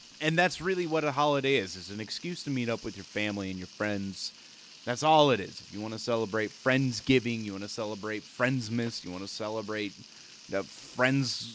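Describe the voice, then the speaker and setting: Moving at a fairly quick pace, a man with a medium pitch speaks with lively intonation and big swings in loudness. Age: 20s. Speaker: gaming streamer. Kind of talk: casual gameplay commentary. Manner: animated.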